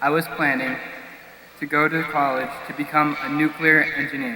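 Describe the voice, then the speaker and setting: A man talks at a fairly slow pace with a fairly high pitch. Noticeable background noise and audible room echo surround him. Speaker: graduating student speaker. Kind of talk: commencement speech. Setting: stage with audience. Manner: formal.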